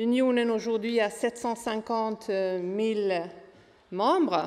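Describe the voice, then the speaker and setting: The woman's voice sits at a fairly high pitch. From Sweden. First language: Swedish (speaking French). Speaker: trade unionist. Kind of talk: panel talk.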